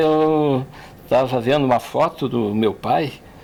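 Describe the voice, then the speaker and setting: A man's normal speaking voice at medium pitch with ordinary pitch variation. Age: 60s. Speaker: engineer. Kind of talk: personal reflection in podcast.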